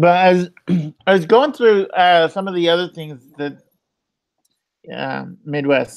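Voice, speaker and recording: An American-accented man speaks at a fairly slow pace in a high pitch, with ordinary pitch variation, big swings in loudness and long, frequent pauses. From Utah. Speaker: vlogger. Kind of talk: live stream chat.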